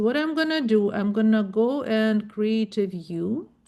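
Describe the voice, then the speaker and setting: Fairly slow and fairly high-pitched, a woman with a non-native accent speaks with lively intonation. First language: not English. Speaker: web developer. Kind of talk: tutorial. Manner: halting.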